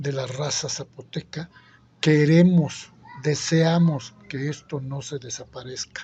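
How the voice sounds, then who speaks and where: A man with an Oaxacan accent speaks at a very slow pace in a fairly high pitch. His voice is somewhat breathy and his intonation fairly even. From Isthmus of Tehuantepec, Oaxaca, Mexico. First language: Zapotec (speaking Spanish). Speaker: interviewee. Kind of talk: interview.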